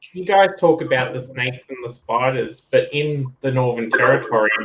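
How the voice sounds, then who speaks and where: A man's medium-pitched voice with an Australian accent, at a moderate pace and with ordinary pitch variation. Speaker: collecting channel host. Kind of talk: casual chat.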